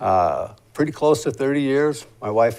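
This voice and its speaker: A man speaks at a moderate pace in a plain, everyday voice, with ordinary pitch variation. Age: 60s. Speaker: political candidate, military veteran. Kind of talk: interview.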